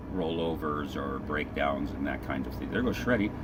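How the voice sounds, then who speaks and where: With audible room echo and noticeable background noise, a man speaks in a very deep, low voice. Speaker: livestream host of off-road racing. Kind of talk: live commentary.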